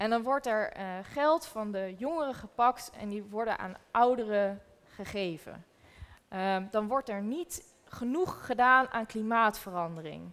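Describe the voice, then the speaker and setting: A woman at a fairly high pitch and a very slow pace. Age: 20s. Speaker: documentary maker; guest. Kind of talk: panel discussion. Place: hall.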